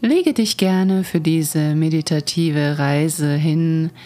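Very slow and fairly even in intonation, a woman speaks at a very deep, low pitch in a warm, calm, dark, mellow tone. The recording is very clean, with a silent background. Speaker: Reiki master and teacher, podcast host. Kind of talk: guided meditation, calm spoken guidance. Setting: studio recording, podcast. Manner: slow, soft-spoken, soothing, gentle pace; warm, calm, dreamy, with pauses.

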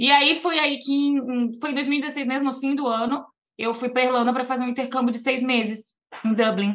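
A woman with an ordinary speaking voice, at a moderate pace and with fairly even intonation. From Brazil, Niterói, Rio de Janeiro; teens in Vitória, Espírito Santo. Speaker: immigration lawyer. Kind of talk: casual interview chat.

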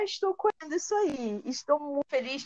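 A woman speaks with lively intonation. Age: 20s. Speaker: teacher and content creator. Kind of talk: casual interview chat.

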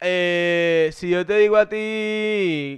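The speech has ordinary pitch variation. The background is quiet. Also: man. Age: 30s. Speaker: podcast co-host. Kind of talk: casual chat.

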